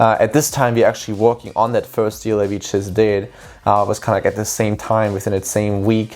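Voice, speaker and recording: Speaking at a fairly quick pace, a man delivers his words in a fairly low pitch with monotone, flat intonation. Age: 20s. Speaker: real estate entrepreneur and student athlete. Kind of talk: vlog explainer. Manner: casual, with fillers.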